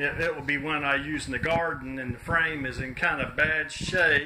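Noticeable noise runs behind a man whose pitch varies in an ordinary way. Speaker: hobbyist tractor restorer. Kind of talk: casual vlog chat. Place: garage. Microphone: phone near.

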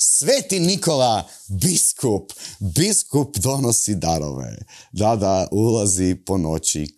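Against a quiet background, a man with a dark, mellow tone speaks very slowly at a fairly low pitch, his voice making very wide pitch swings. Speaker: satirical comedy show host. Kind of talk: satirical monologue to camera. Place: studio. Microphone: lapel.

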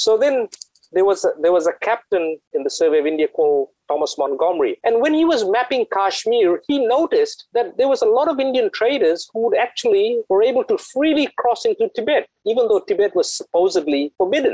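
Extremely high-pitched, the man talks at a fairly quick pace with very wide pitch swings and very even loudness. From Fiji. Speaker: author and engineer. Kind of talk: interview. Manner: halting, many repetitions.

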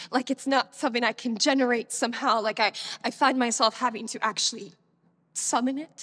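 With fairly even intonation, a woman speaks at a moderate pace. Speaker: actor performing a monologue. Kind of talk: dramatic monologue. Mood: troubled, emotional, hesitant. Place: stage.

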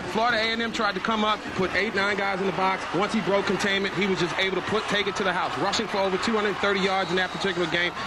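A man's high, raised, projected voice at a very fast pace, very even in loudness, with hardly any pauses and noticeable background noise. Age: 30s. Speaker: color commentator. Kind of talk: live commentary. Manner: animated.

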